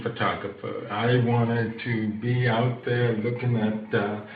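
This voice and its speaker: At a fairly slow pace, a man with a medium pitch speaks amid audible room echo and noticeable background noise. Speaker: entrepreneur, accessibility advocate, hard of hearing. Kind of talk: podcast interview. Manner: hesitant, many filler words.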